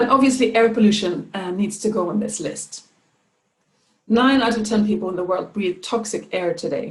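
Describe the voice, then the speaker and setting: Speaking in a Swedish accent, a woman with a fairly high pitch talks at a moderate pace with ordinary pitch variation. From Sweden. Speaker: climate and environment adviser. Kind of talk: presentation talk. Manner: hesitant with fillers.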